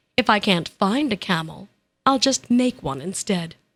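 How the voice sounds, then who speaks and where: A female-sounding, rumbling put-on character voice at a medium pitch moves at a moderate pace in a very clean recording with a silent background. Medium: read story. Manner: grumbling, sneering.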